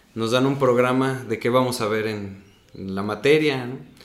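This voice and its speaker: A man speaks with fairly even intonation, and audible room echo is heard in the recording. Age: 30s. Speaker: stage actor. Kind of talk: casual interview.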